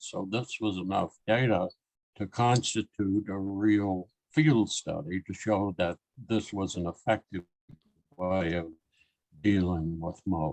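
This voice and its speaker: With a fairly low pitch and ordinary pitch variation, a man talks at a very slow pace in a dry, close sound with no echo. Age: 80s+. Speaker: scientist and author. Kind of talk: casual talk. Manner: halting.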